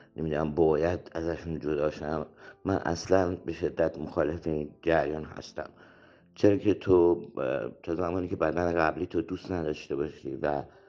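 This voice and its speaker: This man's voice is very deep and low, with a dark, mellow tone. He speaks in a monotone, flat intonation. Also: moderate pace. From Iran, Shahrud. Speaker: theatre actor and director. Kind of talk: interview.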